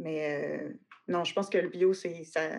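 In a Quebec accent, the speaker shows vocal fry, a moderate pace and fairly even intonation. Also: woman. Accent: Québécois French. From Quebec City. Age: 30s. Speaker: agriculture teacher. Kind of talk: interview. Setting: online call.

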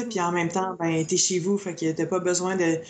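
In a Quebec accent, a woman speaks at a medium pitch. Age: 30s. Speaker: beauty salon owner and eyelash extension trainer. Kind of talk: casual chat.

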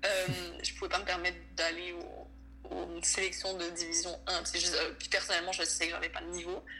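A woman talks at a moderate speed, with noticeable noise in the background. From Venezuela. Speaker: college volleyball player. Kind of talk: casual interview. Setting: late-night recording.

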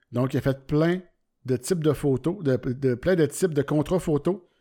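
With a Quebec accent, a man speaks in a dark, mellow tone with ordinary pitch variation on a very clean recording with a silent background. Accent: Québécois French. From Quebec, Centre-du-Québec (Warwick). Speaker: podcast host, amateur photographer. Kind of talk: solo podcast monologue. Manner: casual, hesitant with many fillers.

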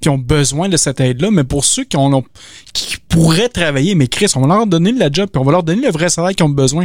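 This man talks at a very fast pace in a Quebec accent, with fairly high pitch and ordinary pitch variation. The sound is dry and close, with no echo. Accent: Québécois French. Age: 30s. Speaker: podcast host. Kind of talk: casual chat. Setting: video call.

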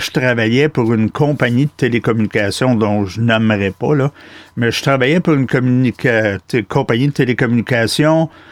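This man speaks with a Quebec accent at a fairly slow pace. His medium-pitched voice sounds dry and close, with no echo. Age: 60s. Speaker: outdoor podcast host. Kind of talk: interview. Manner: animated.

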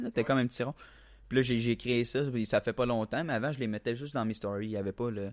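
On a very clean recording with a silent background, a man with a Quebec accent speaks at a very fast pace. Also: medium pitch for a man, fairly even intonation. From Quebec, La Tuque. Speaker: aspiring comedian. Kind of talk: casual chat.

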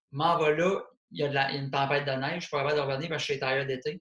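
The speaker has a normal speaking voice. The intonation stays fairly even. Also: man. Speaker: comedian and podcast host. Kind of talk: casual chat. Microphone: poor sound quality.

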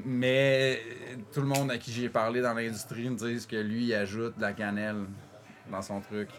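Speaking at a moderate pace with long, frequent pauses, a man with a medium pitch keeps a monotone, flat delivery. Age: 40s. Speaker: coffee roaster. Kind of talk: casual chat. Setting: coffee shop workshop.

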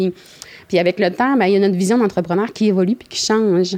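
The woman's voice sits at a medium pitch, with a dark, mellow tone. Her intonation stays fairly even. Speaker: blueberry producer and processor. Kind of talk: casual interview.

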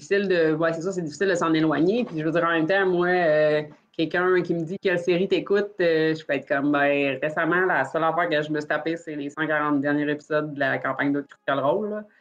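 A woman with a very deep, low pitch talks at a fairly quick pace with hardly any pauses and fairly even intonation. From Quebec. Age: 30s. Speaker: dice maker. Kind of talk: casual chat.

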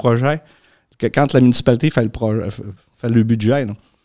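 Speaking at a fairly quick pace, a man has a plain, everyday voice with ordinary pitch variation. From Lac-Saint-Jean region, Quebec. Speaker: engaged citizen, history teacher. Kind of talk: casual chat.

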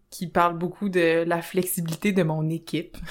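A woman with a Quebec accent, a fairly low pitch and monotone, flat intonation. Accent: Québécois French. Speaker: podcast co-host, sexologist. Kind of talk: casual chat.

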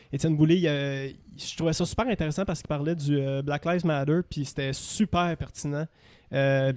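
Against a quiet background, a man with a Quebec accent talks at a moderate pace in a fairly high pitch with fairly even intonation. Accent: Québécois French. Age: 20s. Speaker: radio producer and operator. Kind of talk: casual chat.

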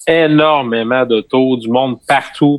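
A man at a medium pitch with a normal speaking voice and fairly even intonation. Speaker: school staff member. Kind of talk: casual chat.

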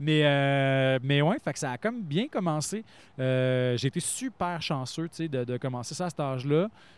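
A man speaks in a normal speaking voice, fairly high in pitch with ordinary variation. He goes at a fairly slow pace. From Quebec. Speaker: actor, author and radio announcer. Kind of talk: casual chat.

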